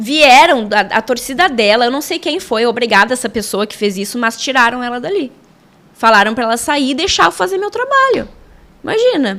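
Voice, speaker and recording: A woman's animated, high-pitched voice at a moderate pace, in a southern Brazilian accent. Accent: southern Brazilian gaucho. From southern Brazil, Alegrete, Rio Grande do Sul. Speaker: sports journalist and football referee. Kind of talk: casual interview chat. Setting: studio.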